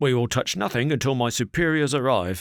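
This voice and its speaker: Growling male voice at medium pitch, fairly quick pace. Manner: hushed.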